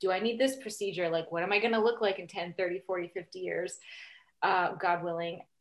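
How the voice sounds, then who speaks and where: A woman talks at a fairly quick pace with a plain, everyday voice. Her pitch varies in an ordinary way, and the background is quiet. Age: 30s. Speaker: sex and family therapist, author. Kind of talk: casual interview.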